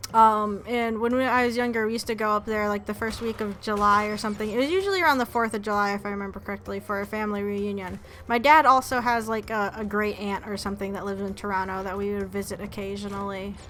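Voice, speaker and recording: A woman with an American accent talks very fast at a medium pitch, her intonation fairly even and her speech hardly pausing at all. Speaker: gaming streamer. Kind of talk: casual chat while livestreaming a game. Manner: halting, many restarts and fillers.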